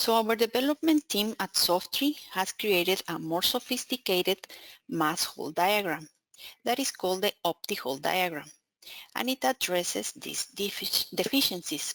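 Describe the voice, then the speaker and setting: A woman with a Spanish accent, medium pitch, very wide pitch swings, moderate pace, and a dry, close sound with no echo. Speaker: software account manager presenting a webinar. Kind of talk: technical webinar presentation. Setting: online webinar.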